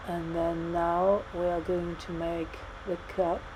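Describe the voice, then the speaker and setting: With a French accent, a woman speaks in a fairly low pitch and a dark, mellow tone, with audible room echo. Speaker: 3D modeling tutor. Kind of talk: tutorial. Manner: halting.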